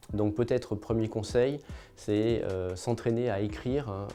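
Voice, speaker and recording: A man at medium pitch and a moderate pace, ordinary pitch variation, music in the background. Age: 50s. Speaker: magistrate. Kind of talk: interview.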